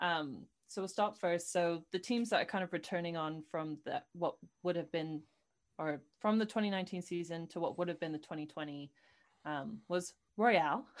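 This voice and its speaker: A woman's fairly low voice with a British accent, at a moderate pace with ordinary pitch variation, against a quiet background. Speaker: podcast co-host. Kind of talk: casual chat.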